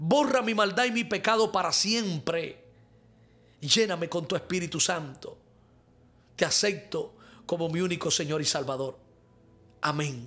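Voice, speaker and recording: The voice has a bright, sharp tone and lively intonation. It moves at a fairly slow pace with long, frequent pauses. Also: man, high pitch for a man. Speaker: pastor and prophet; pastor. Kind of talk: live-streamed sermon with prayer and viewer questions. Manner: fervent. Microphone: studio mic.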